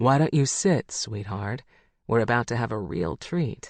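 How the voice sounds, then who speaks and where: A man's put-on character voice at a medium pitch and moderate pace, against a quiet background. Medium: read story. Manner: cocky, teasing.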